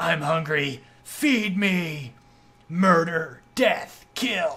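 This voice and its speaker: A strained, put-on character voice at a middle pitch moves at a very slow pace. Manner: menacing, growling.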